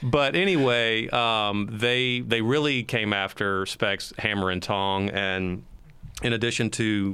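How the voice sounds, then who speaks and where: In an unremarkable speaking voice, a man talks at a fairly slow pace with fairly even intonation. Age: 50s. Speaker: investigative reporter. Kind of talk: casual panel discussion.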